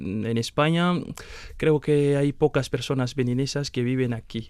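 In an ordinary speaking voice, the speaker goes at a fairly slow pace with ordinary pitch variation. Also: man. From Benin. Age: 20s. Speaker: master's student. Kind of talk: interview.

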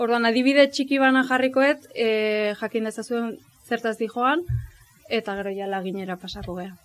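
This woman has an ordinary speaking voice, pitched fairly high, with ordinary pitch variation. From Astigarraga, Gipuzkoa, Basque Country. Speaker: pianist. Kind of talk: talk at book presentation. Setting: live event with audience.

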